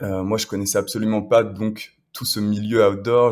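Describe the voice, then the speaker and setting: A man's fairly low voice at a fairly slow pace, fairly even in intonation, a plain, everyday voice. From France, Le Mans. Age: 20s. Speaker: adventurer. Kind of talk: casual interview.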